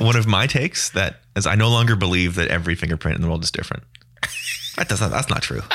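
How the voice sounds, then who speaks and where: Very fast male speech in a Canadian accent, very deep and low in pitch, with ordinary pitch variation and noticeable background noise. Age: 30s. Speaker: sports podcast host. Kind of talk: casual chat.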